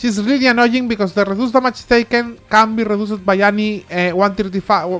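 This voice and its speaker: A woman talks at a fairly quick pace in a medium pitch. There is noticeable background noise. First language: not English. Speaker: mobile game guide youtuber. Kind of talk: game tutorial. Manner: fast; halting, many fillers and restarts.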